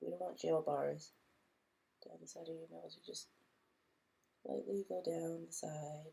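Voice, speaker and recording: Speaking at a fairly slow pace, a woman leaves long, frequent pauses and shows big swings in loudness. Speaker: beauty vlogger. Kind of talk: makeup tutorial. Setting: home recording at night. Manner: casual.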